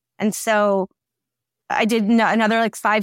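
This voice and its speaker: In a very clean, dry, close recording with no echo and a silent background, a woman with an American accent speaks at a moderate pace and a medium pitch. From Michigan, US Midwest. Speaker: TV producer. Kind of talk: casual interview chat. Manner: animated, laughing often.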